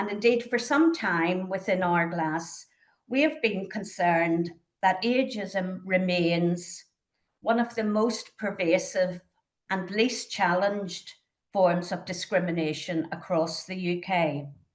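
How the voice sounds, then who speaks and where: Here a woman speaks with a Northern Irish accent at a medium pitch. She talks at a very slow pace. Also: ordinary pitch variation. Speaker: charity trustee chairing a conference panel. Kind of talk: conference panel introduction. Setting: conference. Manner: formal.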